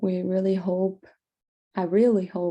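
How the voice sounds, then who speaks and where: A woman's medium-pitched, dark and mellow voice with a Portuguese accent, at a fairly slow pace. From Brazil. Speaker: student. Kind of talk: class presentation. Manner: halting.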